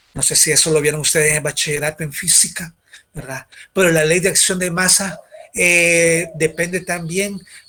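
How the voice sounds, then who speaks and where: Here a man speaks at a high pitch. His intonation is fairly even. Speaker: university lecturer. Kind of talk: lecture. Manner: fast.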